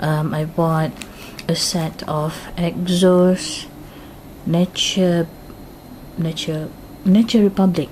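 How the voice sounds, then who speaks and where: Over noticeable background noise, a woman with a Malaysian accent speaks very slowly at a fairly low pitch with fairly even intonation. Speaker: YouTuber, K-pop fan. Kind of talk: unboxing vlog. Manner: hesitant, many fillers.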